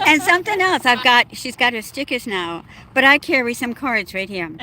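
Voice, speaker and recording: A woman with a high pitch projects a raised voice with a bright, sharp tone. Her pitch swings very widely at a moderate pace. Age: 70s. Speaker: van traveler. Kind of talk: casual chat.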